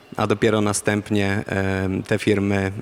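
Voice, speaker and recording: Speaking in a Polish accent, a man keeps his fairly low voice in a monotone, flat intonation. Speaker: defence industry program manager. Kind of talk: panel discussion. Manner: halting, many fillers.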